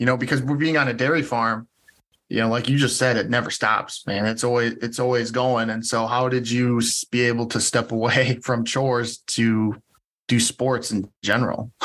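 A man with an unremarkable speaking voice, medium pitch and moderate pace. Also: very even loudness. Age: 30s. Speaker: podcast host. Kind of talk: casual interview chat.

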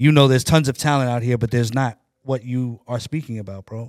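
In an unremarkable speaking voice, a man speaks at a moderate pace and medium pitch with fairly even intonation, the sound dry and close with no echo in a very clean recording with a silent background. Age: 40s. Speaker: podcast co-host. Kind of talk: casual chat.

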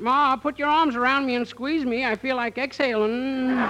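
Drawling at a moderate pace in a high, put-on character voice, the speaker is heard over clear background noise. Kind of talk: rural, folksy. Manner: very slow, lazy drawl.

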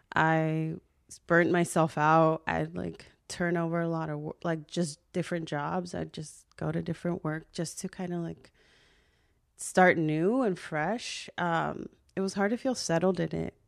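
A woman with a fairly low pitch and an unremarkable speaking voice talks at a fairly slow pace with fairly even intonation, in a very clean recording with a silent background. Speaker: social worker and podcaster. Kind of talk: casual chat.

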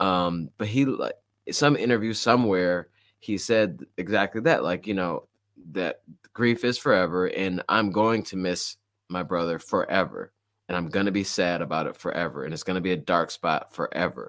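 In a very clean recording with a silent background, a man talks at a moderate pace in a very deep, low voice with ordinary pitch variation. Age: 30s. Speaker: podcast host and runner. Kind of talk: casual interview chat. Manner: casual, many fillers.

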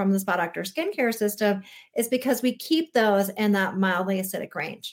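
A woman's ordinary speaking voice, fairly high in pitch with ordinary variation, at a moderate pace. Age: 40s. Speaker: naturopathic doctor and skincare expert. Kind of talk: interview.

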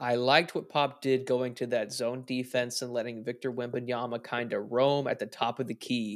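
A man's voice, very cleanly recorded against a silent background. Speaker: sports podcast co-host. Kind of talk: casual sports recap discussion.

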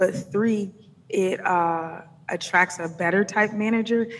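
A woman speaks with an American accent in an ordinary speaking voice. Her pace is moderate and her intonation fairly even. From Atlanta, US South. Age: 30s. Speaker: music business consultant. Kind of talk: interview conversation.

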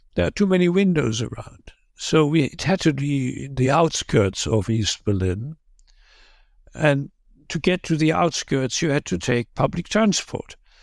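Speaking fairly slowly in a German accent, a man with a fairly high voice swings his pitch very widely on a very clean recording with a silent background. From Germany, Wuppertal. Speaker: former Cold War escape helper. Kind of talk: interview testimony. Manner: halting.

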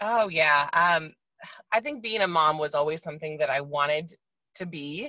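A woman speaks in an American accent with a very deep, low pitch. Her pace is moderate and her pitch varies in an ordinary way. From US Midwest, Wisconsin. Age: 30s. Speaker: guest sharing OCD experience. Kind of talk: interview testimony. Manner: hesitant, many fillers.

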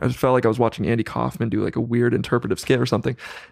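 A man's medium-pitched voice with vocal fry, at a very fast pace. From US West Coast, Central Valley of California. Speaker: musician and songwriter. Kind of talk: casual chat.

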